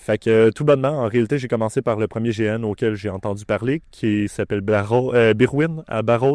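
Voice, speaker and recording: A man speaks with a Quebec accent at a moderate pace, with hardly any pauses and ordinary pitch variation. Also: medium pitch for a man, dry, close sound with no echo. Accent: Québécois French. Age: 20s. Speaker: larp player and former organizer. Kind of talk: documentary interview.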